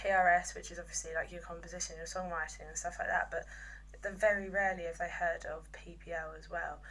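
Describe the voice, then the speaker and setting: A woman with an English accent talks at a very fast pace, and audible room echo surrounds her voice. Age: 20s. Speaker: music business apprentice. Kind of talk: video monologue. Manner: halting; loud.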